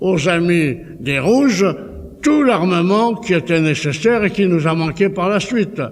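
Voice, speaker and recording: Noticeable background noise sits behind a man speaking at a fairly slow pace. His high voice has lively intonation. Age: 80s+. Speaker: political speaker. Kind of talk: public speech. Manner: halting, repeats words.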